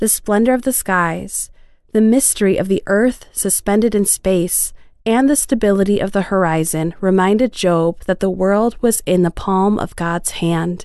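A woman speaks in a normal speaking voice at a medium pitch and a moderate pace. Her loudness stays very even, and her pitch varies in an ordinary way. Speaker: devotional reader. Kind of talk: devotional reading aloud, with scripture and closing prayer. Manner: calm, measured, reverent.

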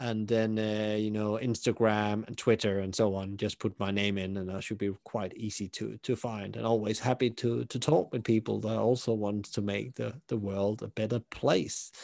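In a Danish accent, a man with a fairly low pitch speaks at a moderate pace with hardly any pauses and a monotone, flat intonation, the sound dry and close with no echo against a quiet background. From southern Denmark. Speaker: hospitality consultant and podcaster. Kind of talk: interview.

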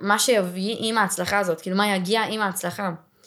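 A woman's voice at a medium pitch. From Israel, Ramat Gan. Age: 20s. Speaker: pilates studio owner. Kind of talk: podcast interview.

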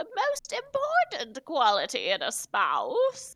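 A woman's put-on character voice, extremely high and raised to project, at a fairly slow pace in a dry, close recording with no echo.

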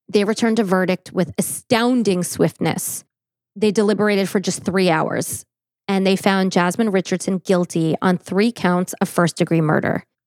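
In a very clean recording with a silent background, the speaker uses an ordinary speaking voice at a moderate pace, with very even loudness and fairly even intonation. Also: woman, medium pitch for a woman. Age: 40s. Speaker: true crime podcast host. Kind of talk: case narration. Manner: formal.

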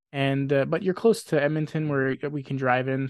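Over a quiet background, a man speaks with a western Canadian accent at a fairly high pitch. The sound is dry and close, with no echo. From Grande Prairie, northern Alberta, Canada. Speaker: podcast guest. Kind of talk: casual chat.

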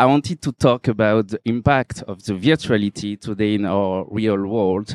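Speaking at a fairly slow pace in a French accent, a man comes across dry and close with no echo. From Réunion. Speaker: photographer. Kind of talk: talk at exhibition.

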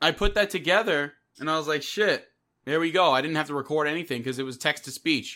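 A man with a New York accent, fairly high-pitched and bright, sharp in tone, at a very fast pace with ordinary pitch variation, on a very clean recording with a silent background. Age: 20s. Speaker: podcast host and audio drama creator. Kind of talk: casual chat.

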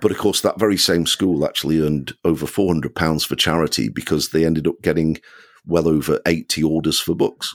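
At a fairly quick pace, a man with a Yorkshire accent speaks at a very deep, low pitch with very even loudness, the sound dry and close with no echo. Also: fairly even intonation. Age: 60s. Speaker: children's author. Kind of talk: interview.

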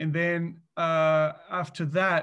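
A man is speaking. He has a Spanish accent. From Mexico. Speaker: business co-founder, finance executive. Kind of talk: interview. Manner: hesitant, many fillers.

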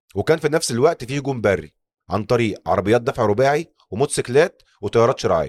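A man with an Egyptian accent talks very fast, his pitch swinging very widely. The sound is dry and close, with no echo. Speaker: podcast host. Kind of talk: scripted narration.

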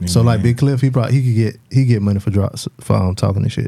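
Over noticeable background noise, a man with a fairly low pitch and ordinary pitch variation talks at a moderate pace. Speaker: podcast host. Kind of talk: casual, slangy.

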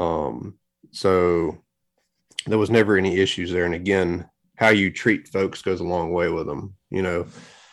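Very deep and low, a man's voice moves at a moderate pace with fairly even intonation. The recording is very clean with a silent background. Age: 30s. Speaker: lawn care business owner and YouTuber. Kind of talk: podcast interview. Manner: filler-heavy, casual.

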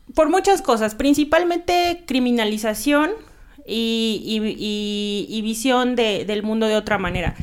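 Noticeable background noise sits under a woman's voice. She speaks at a fairly slow pace with a fairly high pitch and lively intonation. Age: 30s. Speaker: nun and cannabis legalization activist. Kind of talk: casual interview chat.

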